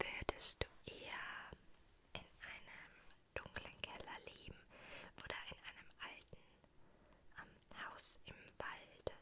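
Very slow whispering from a woman, broken by long, frequent pauses. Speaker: ASMR creator. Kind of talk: ASMR Q&A talk to camera. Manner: whispered. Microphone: studio mic.

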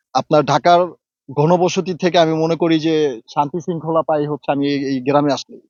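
Here a man talks with a fairly high pitch. His intonation stays fairly even. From Bangladesh, Dhaka. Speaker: social media actor. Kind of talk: interview. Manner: halting.

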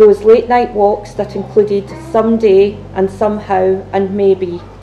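Speaking at a fairly slow pace with fairly even intonation, a woman is heard over light background noise. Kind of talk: ceremony address. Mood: warm, solemn. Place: hall.

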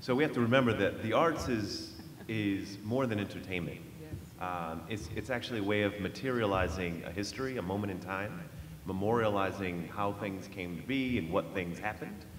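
In an American accent, a man with a fairly low pitch speaks at a moderate pace with ordinary pitch variation, with audible room echo and light background noise. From Baltimore, US. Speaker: nonprofit executive director; panelist. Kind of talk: panel discussion. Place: hall. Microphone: podium.

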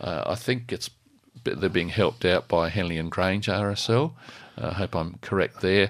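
Against a quiet background, a man with an Australian accent speaks at a moderate pace and a fairly low pitch, with ordinary pitch variation. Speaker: radio co-host. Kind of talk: community radio talk show. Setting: studio. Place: studio. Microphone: studio mic.

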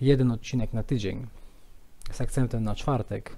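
A man's dark, mellow voice, monotone and flat in intonation, at a fairly quick pace. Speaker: presenter. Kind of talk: lecture. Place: office.

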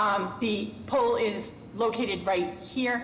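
Light background noise and audible room echo surround the recording. A woman speaks with ordinary pitch variation. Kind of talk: hearing presentation. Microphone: video call.

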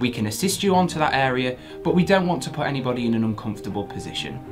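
Clear music plays in the background. A man speaks over it. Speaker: attraction staff guide. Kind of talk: walkthrough guide. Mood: friendly, reassuring. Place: hall. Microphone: phone near.

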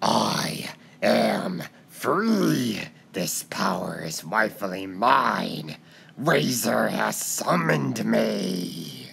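In a put-on character voice, the speaker goes at a very slow pace with a very deep, low, raspy pitch and very wide pitch swings. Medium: fan dub. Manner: menacing, triumphant.

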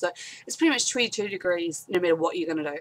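This woman has a New Zealand accent. Her tone is animated, bright and sharp. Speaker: video blogger unboxing beauty subscription box. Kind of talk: casual unboxing and product review vlog. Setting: home, webcam video. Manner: chatty, animated, informal. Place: home room. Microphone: webcam.

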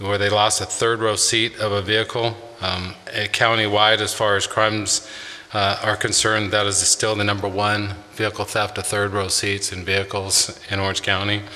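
Fairly low male voice with monotone, flat intonation. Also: moderate pace. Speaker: sheriff's lieutenant giving a report. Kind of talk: report presentation. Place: hall. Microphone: podium.

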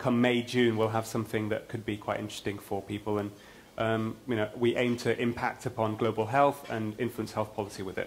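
The speech moves at a fairly quick pace with monotone, flat intonation. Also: man. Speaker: conference speaker. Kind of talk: lecture. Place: hall. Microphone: lapel.

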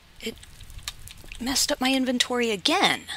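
A woman speaks at a high pitch. The sound is dry, with no echo. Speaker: gaming video creator. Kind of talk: casual gameplay commentary. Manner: whispered when tense. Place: home room.

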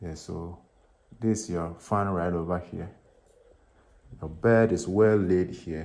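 The speech comes very slowly, with long, frequent pauses and fairly even intonation. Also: man, very deep, low pitch for a man. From Ghana. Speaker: real estate agent. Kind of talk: property tour video. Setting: walking tour of a house. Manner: casual, rambling narration. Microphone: phone near.

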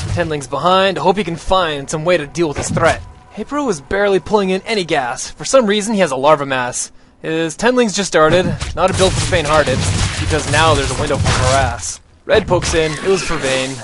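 Over background music, a man talks at a fairly quick pace. His pitch is fairly high, and his intonation is lively. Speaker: gaming commentator. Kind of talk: live esports commentary delivered entirely in rhyming limericks. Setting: screen-recorded video commentary over a game replay. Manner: animated, quick rhythmic delivery with playful, excited reactions; jokey, laughing at his own rhymes.

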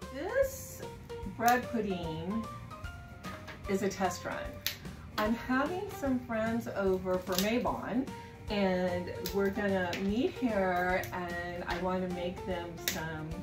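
A woman speaks at a very slow pace with long, frequent pauses and ordinary pitch variation, while clear music plays in the background. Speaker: home baker vlogger. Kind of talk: casual vlog chat. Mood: playful, relaxed. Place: kitchen. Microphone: phone near.

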